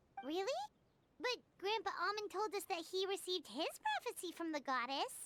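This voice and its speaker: In a squeaky, put-on character voice at an extremely high pitch, the speaker talks at a moderate pace. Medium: video game. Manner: curious, inquisitive.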